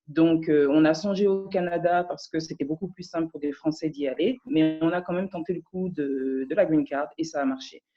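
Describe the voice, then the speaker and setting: With music in the background, the speech moves at a moderate pace with hardly any pauses. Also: woman, fairly low pitch for a woman, ordinary pitch variation. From France. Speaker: audience participant. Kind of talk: testimony. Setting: video call.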